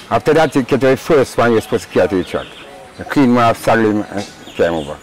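Speaking very fast at a medium pitch, a man swings his pitch very widely, with a dry sound free of echo and light background noise. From Jamaica. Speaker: racehorse groom. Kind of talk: interview.

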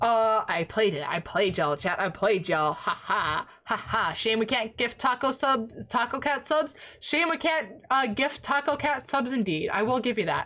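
A woman with a fairly high pitch and very wide pitch swings speaks at a moderate pace over noticeable background noise. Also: very even loudness. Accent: American. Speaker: livestreamer. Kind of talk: casual livestream chat. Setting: home desk setup with microphone. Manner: animated.

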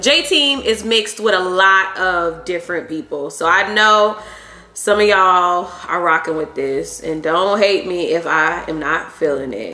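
With audible room echo, a woman speaks at a fairly slow pace. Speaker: food vlogger. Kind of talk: casual vlog chat. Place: kitchen.

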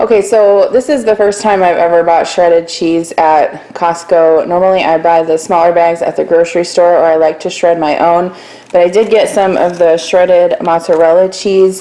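A woman talks in a normal speaking voice at a fairly low pitch. Her intonation is fairly even and her pace moderate. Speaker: home vlogger. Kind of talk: casual haul commentary. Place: kitchen. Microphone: phone near.

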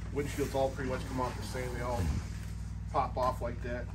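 A man's voice over noticeable background noise. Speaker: snowmobile vlogger. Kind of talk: tutorial. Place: garage. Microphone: phone near.

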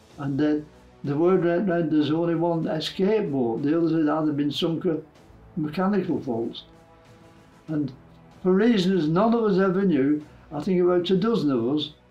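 A man at a fairly high pitch, with ordinary pitch variation, a moderate pace, long, frequent pauses, and faint music in the background. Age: 80s+. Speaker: war veteran. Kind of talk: interview answer. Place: home room.

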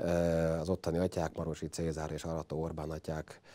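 Over a quiet background, a man talks in a very deep, low pitch. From Hungary, Mosonmagyaróvár; Hungary. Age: 40s. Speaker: guest. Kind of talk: interview. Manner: hesitant fillers. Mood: warm, reminiscing. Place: studio. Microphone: lapel.

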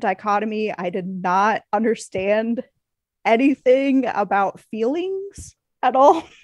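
Against a quiet background, a woman in a normal speaking voice talks at a fairly slow pace, her pitch fairly high and her intonation lively, with a dry, close sound and no echo. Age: 30s. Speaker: stay-at-home mom, former IT worker. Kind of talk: casual interview.

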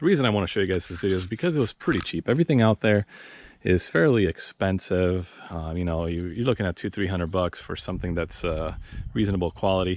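A man with a very deep, low pitch, at a very fast pace, with ordinary pitch variation. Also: dry sound with no echo. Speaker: vlogger reviewing gear. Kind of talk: casual vlog chat. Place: street. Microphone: phone near.

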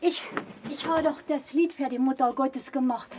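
Her pitch is high and her intonation fairly even as a woman speaks at a fairly slow pace. Noticeable background noise runs behind her. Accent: Thuringian. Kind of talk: interview answer.

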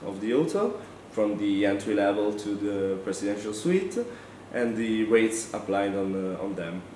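A man with a fairly low-pitched voice talks over light background noise, and audible room echo can be heard. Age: 20s. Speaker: student. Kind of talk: testimonial presentation. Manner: halting with frequent fillers. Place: classroom.

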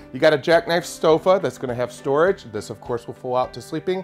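A man talking at a fairly quick pace, with faint music in the background. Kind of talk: product walkthrough presentation. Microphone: lapel.

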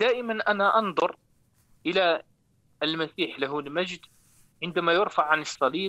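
A man at a fairly slow pace with long, frequent pauses, a bright, sharp tone, ordinary pitch variation and very even loudness, against a quiet background. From Morocco. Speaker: caller. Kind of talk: live call-in testimony. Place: studio. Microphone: lapel.

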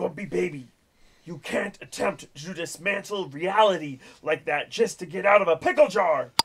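Gruff, shouted put-on character voice from a man, high-pitched and at a moderate pace. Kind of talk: comic overacting. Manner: angry, yelling, preachy.

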